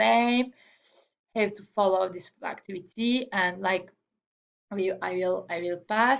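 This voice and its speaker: At a very slow pace, a woman with a non-native accent speaks with ordinary pitch variation. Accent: non-native English accent, self-noted. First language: not English. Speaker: student presenter. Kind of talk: class presentation. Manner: halting, many repetitions and fillers.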